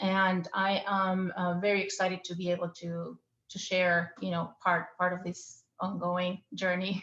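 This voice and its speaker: In an Argentine accent, the speaker talks at a fairly slow pace in a flat monotone, with hardly any pauses. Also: woman, medium pitch for a woman. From Argentina. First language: Spanish. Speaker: architect. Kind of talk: panel interview. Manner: halting.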